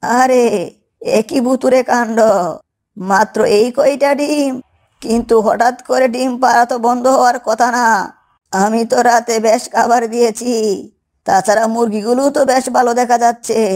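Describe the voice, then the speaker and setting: This is a cartoonish character voice. It sits at a fairly high pitch. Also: moderate pace. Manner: homely, scolding.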